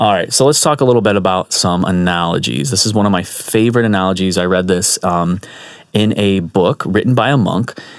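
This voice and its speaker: At a fairly quick pace, a man with a very deep, low pitch speaks with ordinary pitch variation and very even loudness. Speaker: Buddhist teacher. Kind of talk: dharma talk. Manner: fast; casual.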